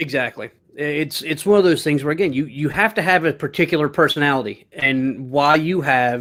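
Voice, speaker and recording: A man with an ordinary speaking voice, fairly high pitch and ordinary pitch variation, at a fairly quick pace with hardly any pauses, in a very clean recording with a silent background. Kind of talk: casual studio banter.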